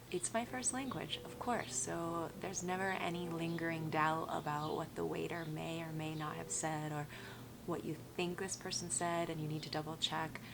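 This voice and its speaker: A woman with an American accent speaks in a very deep, low pitch with ordinary pitch variation. Audible room echo and noticeable background noise surround her voice. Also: moderate pace. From Colorado, US. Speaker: travel vlogger. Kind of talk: casual vlog talk to camera.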